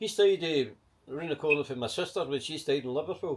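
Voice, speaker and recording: This man speaks with a Glaswegian accent in a fairly high pitch. His pace is fairly quick. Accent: Glaswegian Scottish. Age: 70s. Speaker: market trader and protester. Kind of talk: casual interview chat.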